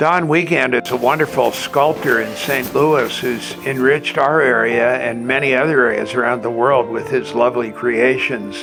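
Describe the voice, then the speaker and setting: Over background music, a man at medium pitch speaks at a moderate pace with hardly any pauses and ordinary pitch variation. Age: 80s+. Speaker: botanist. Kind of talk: interview answer.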